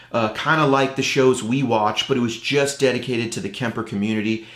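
Speaking at a very fast pace, a man is heard with audible room echo over a quiet background. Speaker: show host. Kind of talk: casual vlog intro. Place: studio.

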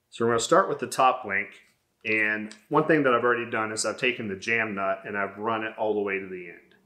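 The background is quiet as a man speaks with ordinary pitch variation. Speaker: workshop channel host. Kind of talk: tutorial. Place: workshop.

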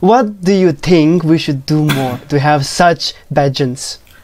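A man talks at a fairly slow pace. His pitch is fairly high and varies in an ordinary way. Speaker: talk show host. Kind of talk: casual interview. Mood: cheerful, smiling. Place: home room. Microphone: lapel.

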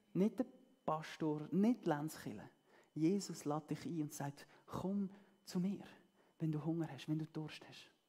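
A woman's very slow, fairly low voice, warm in tone yet dark and mellow, against a quiet background. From German-speaking Switzerland. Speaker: preacher. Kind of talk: sermon. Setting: church. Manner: warm, earnest and conversational, with a pastoral, persuasive tone. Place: stage.

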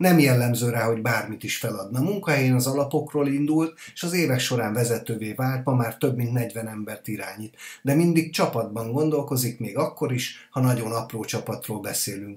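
Hardly pausing, a man at medium pitch talks at a moderate pace, somewhat breathy, with ordinary pitch variation. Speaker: podcast host. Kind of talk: interview.

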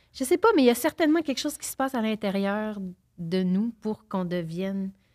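At a fairly quick pace, a woman speaks. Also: quiet background. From Quebec. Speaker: actress. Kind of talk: casual chat. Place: studio. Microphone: studio mic.

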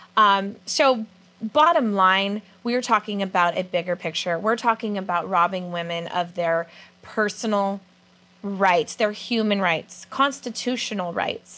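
A woman speaks in a bright, sharp tone. Her pace is fairly slow, and her pitch varies in an ordinary way. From California. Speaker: student TV show host. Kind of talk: interview; interview questions. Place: studio. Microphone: lapel.

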